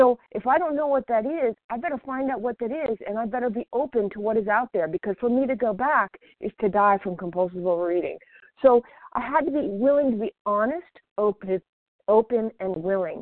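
This woman has a fairly high pitch and an ordinary speaking voice, talking at a fairly quick pace with lively intonation. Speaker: recovering overeater sharing at meeting. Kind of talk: recovery meeting share. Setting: phone call.

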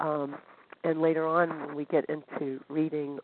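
A woman speaks with an American accent at a fairly slow pace. Her pitch is very deep and low. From Northern California, US. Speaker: support group member. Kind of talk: testimony. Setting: phone call.

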